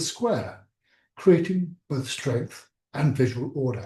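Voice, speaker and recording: Lively in intonation yet fairly slow in pace, a man speaks at a fairly high pitch in a dark, mellow, somewhat breathy tone. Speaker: surgery teacher. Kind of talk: online lecture. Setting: video call.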